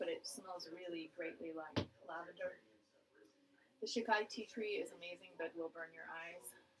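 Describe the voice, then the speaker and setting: Soft-spoken mumbling, with long, frequent pauses and big swings in loudness. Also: woman, fairly low pitch for a woman, ordinary pitch variation, moderate pace. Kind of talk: casual talk to camera. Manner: mumbling, soft-spoken.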